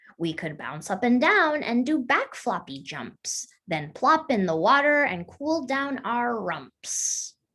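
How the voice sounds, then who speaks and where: Putting on a character voice, a woman speaks fairly slowly with hardly any pauses, her high pitch swinging very widely. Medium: read story.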